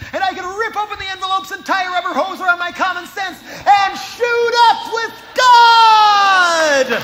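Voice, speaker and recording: A man shouts at an extremely high pitch, moving at a moderate pace with hardly any pauses. His pitch varies in an ordinary way, and there is noticeable background noise. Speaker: spoken word performer. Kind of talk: live spoken word performance. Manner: sarcastic, impassioned.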